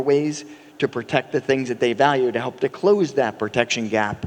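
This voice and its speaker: An American-accented man's voice over noticeable background noise. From United States. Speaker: company CEO. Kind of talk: conference panel talk. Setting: stage with audience.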